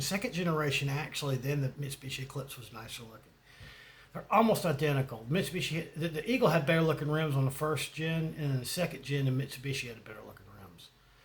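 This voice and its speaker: With a Southern US accent, a fairly high-pitched man talks at a very fast pace with big swings in loudness. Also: ordinary pitch variation. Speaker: YouTuber. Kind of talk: casual monologue. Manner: rambling, hesitant.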